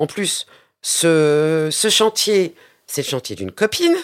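A woman's voice with very wide pitch swings on a very clean recording with a silent background. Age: 50s. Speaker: plumber and business owner. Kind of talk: interview. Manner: halting, many hesitations.

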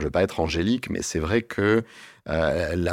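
A man speaks with ordinary pitch variation. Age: 50s. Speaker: travel agency director. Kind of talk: interview. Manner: halting.

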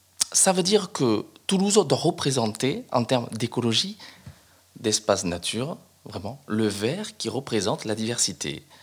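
A somewhat breathy voice at a fairly slow pace, with very wide pitch swings. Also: man. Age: 40s. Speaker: police officer and mayoral candidate. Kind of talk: interview.

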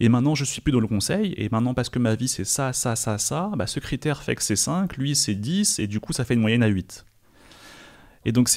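With lively intonation, the man talks at a medium pitch. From France. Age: 20s. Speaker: chess player and content creator. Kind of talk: interview conversation.

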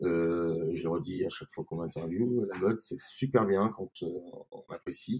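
Speaking at a fairly slow pace with hardly any pauses, a man uses a fairly low pitch and ordinary pitch variation in a dry, close sound with no echo. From France, Grenoble. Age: 50s. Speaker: restaurant and bar owner. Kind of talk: interview. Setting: in his wine bar. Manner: halting, many repetitions.

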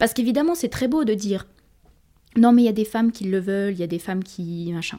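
The speech races along at a very fast pace with lively intonation. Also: woman, fairly high pitch for a woman. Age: 20s. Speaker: feminist activist student. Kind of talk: interview. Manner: halting.

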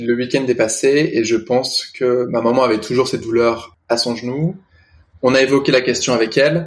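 At a moderate pace, a man speaks in a medium pitch with an unremarkable speaking voice. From northern France, Lille area. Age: 30s. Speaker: restaurant owner and guide dog puppy raiser. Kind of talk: casual interview.

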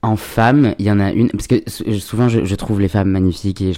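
Very deep and low in pitch, a man's dark, mellow voice rushes along at a very fast pace. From Paris suburbs (Seine-Saint-Denis). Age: 20s. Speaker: content creator, comedian. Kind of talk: casual chat. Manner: hesitant, many fillers.

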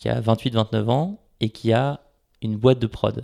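The man's pitch is medium, with ordinary variation. The sound is dry and close with no echo, on a very clean recording with a silent background. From France, Paris. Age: 30s. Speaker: startup CEO. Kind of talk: interview. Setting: at home, large echoey room.

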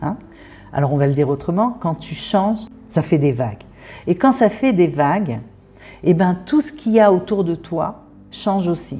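A woman with a fairly low pitch speaks at a moderate pace, somewhat breathy. Her pitch swings very widely, with long, frequent pauses. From France. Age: 50s. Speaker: therapist. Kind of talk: interview monologue. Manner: hesitant.

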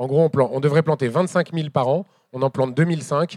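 A man's voice with ordinary pitch variation, dry and close with no echo, on a very clean recording with a silent background. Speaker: moderator and farming activist. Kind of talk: live public talk. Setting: stage with audience. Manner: halting.

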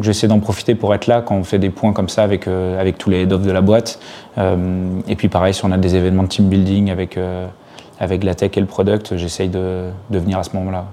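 A man with a very deep, low pitch talks fairly quickly in monotone, flat intonation over noticeable background noise. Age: 30s. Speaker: startup CTO and co-founder. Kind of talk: interview. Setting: office. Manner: hesitant with fillers.

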